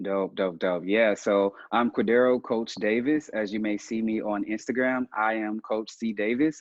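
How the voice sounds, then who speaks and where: In a Southern US accent, a man speaks at a moderate pace and fairly low pitch, with fairly even intonation and hardly any pauses. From US South, Mississippi Delta. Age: 30s. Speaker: coach and mentor. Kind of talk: interview. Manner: halting, many fillers.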